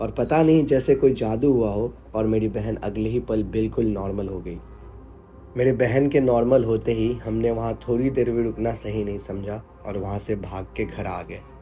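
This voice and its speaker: Music plays in the background. A man speaks at a moderate pace and medium pitch, with fairly even intonation. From Bihar, India. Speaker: horror story narrator. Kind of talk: horror story reading.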